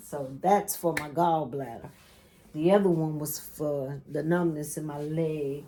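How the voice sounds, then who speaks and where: A woman speaks at a fairly low pitch with a dark, mellow tone. Her pace is fairly slow and her intonation fairly even. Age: 60s. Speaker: quilting YouTuber. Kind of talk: casual vlog chat. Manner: chatty.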